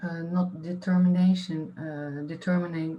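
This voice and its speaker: This woman's fairly low voice keeps a monotone, flat intonation. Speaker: artist-researcher. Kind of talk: panel discussion. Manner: halting.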